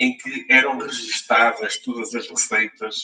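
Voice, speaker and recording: A man talks in a European Portuguese accent. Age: 60s. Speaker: local government finance practitioner. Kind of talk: panel talk. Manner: halting, many fillers and repetitions.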